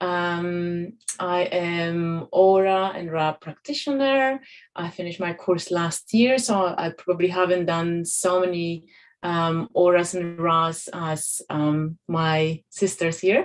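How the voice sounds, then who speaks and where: A woman with a Polish accent speaks very slowly at a fairly low pitch, her pitch varying in an ordinary way against a quiet background. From Poland. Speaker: holistic healing practitioner. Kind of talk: panel discussion.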